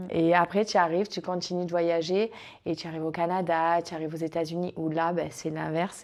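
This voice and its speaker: In a very clean recording with a silent background, a woman talks at a fairly quick pace and a fairly low pitch. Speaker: former cruise ship dancer. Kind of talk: interview answer.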